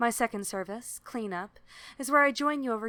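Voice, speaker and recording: The recording is very clean, its background silent. A woman with an unremarkable speaking voice uses lively intonation at a moderate pace. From Canada. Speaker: remote tech support provider. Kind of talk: service advertisement read.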